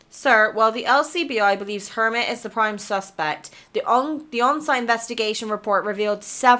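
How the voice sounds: This is a natural reading voice. The pitch variation is ordinary.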